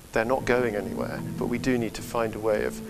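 Moderate-paced speech with music in the background. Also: man. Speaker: website director. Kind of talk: interview answer. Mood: earnest, enthusiastic. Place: church. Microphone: lapel.

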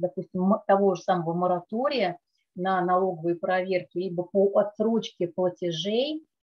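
With ordinary pitch variation, a woman delivers her words at a moderate pace. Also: quiet background. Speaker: tax lawyer. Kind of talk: webinar presentation. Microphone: webcam.

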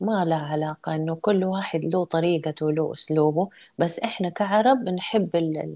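A woman with a Hejazi accent talks at a moderate pace, with hardly any pauses. Her fairly low voice has a dark, mellow tone and ordinary pitch variation over a quiet background. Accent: Hejazi Saudi Arabic. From Saudi Arabia, Jeddah (born in Mecca); Saudi Arabia. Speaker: photographer and art trainer; interview guest. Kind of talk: interview. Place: home room. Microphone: video call.

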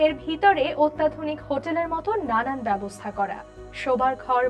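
Music plays behind a woman whose high-pitched voice carries lively intonation. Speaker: voice over artist. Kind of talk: news presentation.

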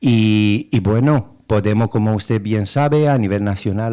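With a Romanian accent, a man speaks in a fairly low, dark, mellow voice. His pitch varies in an ordinary way over a quiet background. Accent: foreign (Romanian) accent in Spanish. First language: Romanian (speaking Spanish). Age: 30s. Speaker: political candidate and activist; candidate. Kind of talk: radio interview. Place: studio.

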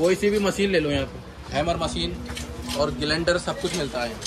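A man's fairly high voice at a moderate pace, ordinary pitch variation, and clear background noise

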